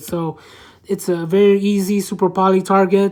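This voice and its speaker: The woman speaks at a medium pitch. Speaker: card game content creator. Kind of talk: deck profile tutorial. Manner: halting, stumbling over card text.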